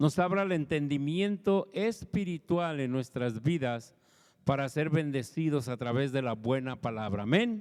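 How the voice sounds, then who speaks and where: A man with a plain, everyday voice talks at a fairly slow pace. His intonation is lively. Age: 60s. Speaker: pastor. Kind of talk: sermon.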